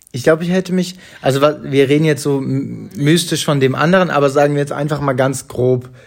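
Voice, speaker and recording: A normal speaking voice from a man, fairly high in pitch, with ordinary pitch variation and a moderate pace. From Hamburg, northern Germany. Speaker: podcast co-host. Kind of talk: casual chat. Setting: at home on the sofa.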